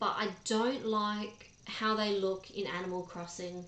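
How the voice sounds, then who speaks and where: A woman speaks with an Australian accent. Her intonation is fairly even, and room echo is audible. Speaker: gaming streamer. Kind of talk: live stream chat. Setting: live stream. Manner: casual, chatty with fillers.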